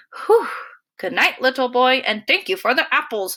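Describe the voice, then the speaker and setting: A woman's put-on character voice, high-pitched and growling yet gentle in tone, at a moderate pace. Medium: read story. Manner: gentle, growly.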